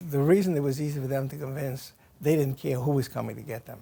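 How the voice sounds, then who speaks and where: Speaking with an American accent, a man has a dark, mellow tone, a fairly high pitch, a somewhat breathy quality and ordinary pitch variation. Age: 80s+. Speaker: war veteran. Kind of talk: interview answer.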